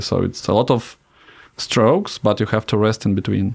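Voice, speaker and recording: In a Russian accent, a man talks at a moderate pace with a fairly low pitch and monotone, flat intonation. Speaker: cosmonaut. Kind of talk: interview.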